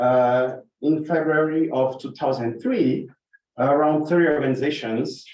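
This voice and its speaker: In a room with audible echo, a man speaks fairly slowly at a fairly high pitch. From Brazil. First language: Portuguese. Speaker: water researcher and presenter. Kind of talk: conference presentation.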